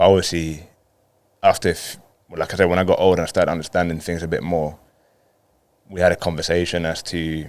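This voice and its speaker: A man speaks with a London accent in a very deep, low voice. His intonation stays monotone and flat. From Colombia, then London from age ten. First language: Spanish. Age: 30s. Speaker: professional footballer. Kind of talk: podcast interview.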